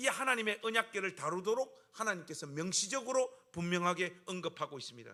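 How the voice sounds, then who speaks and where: A bright, sharp, animated tone, raised and projected, with lively intonation at a moderate pace. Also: man. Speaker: pastor. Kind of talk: sermon.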